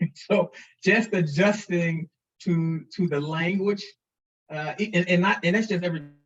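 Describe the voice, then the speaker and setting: This man has a high voice and a Missouri accent, with fairly even intonation. He talks at a fairly slow pace, stopping often for long pauses. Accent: Missouri country. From St. Louis, Missouri. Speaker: foundation president. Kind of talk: interview. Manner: halting, many repeated words.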